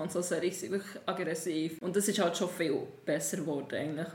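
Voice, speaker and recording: A fairly low female voice in a monotone, flat intonation, with audible room echo. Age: 20s. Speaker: musician. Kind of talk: casual chat.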